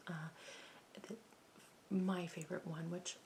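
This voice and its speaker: This voice is soft-spoken. Words come out at a fairly slow pace. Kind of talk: soft-spoken talk to camera about meditation.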